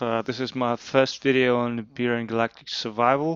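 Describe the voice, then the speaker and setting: The man speaks with a non-native accent and fairly even intonation. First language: not English. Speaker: video game youtuber. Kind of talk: game tutorial walkthrough. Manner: hesitant, many fillers.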